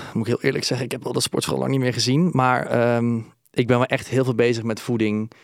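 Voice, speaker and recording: Over a silent background in a very clean recording, a man talks at a moderate pace. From Brabant, Netherlands. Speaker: musical performer and presenter, reality show participant. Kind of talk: casual interview chat. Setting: studio. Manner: trained, clear speaker.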